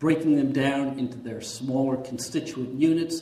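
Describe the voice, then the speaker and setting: Amid noticeable background noise and audible room echo, a man talks at a moderate pace with a fairly high pitch and fairly even intonation. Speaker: psychologist presenter. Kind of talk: conference talk. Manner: many fillers and hesitations.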